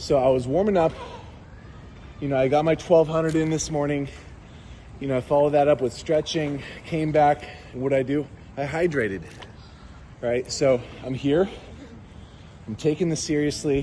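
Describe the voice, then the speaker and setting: Delivered at a moderate pace with fairly even intonation, the speech has long, frequent pauses over light background noise. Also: man. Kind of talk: casual vlog chat. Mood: playful trash talk. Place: waterside. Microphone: phone near.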